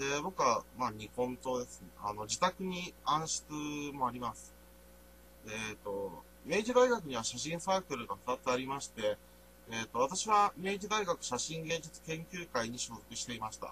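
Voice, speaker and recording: Against noticeable background noise, a man at a medium pitch speaks with big swings in loudness and very wide pitch swings. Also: moderate pace. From Niigata, Nagaoka. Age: 20s. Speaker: university student. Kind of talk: presentation. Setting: voice-only recording. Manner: halting.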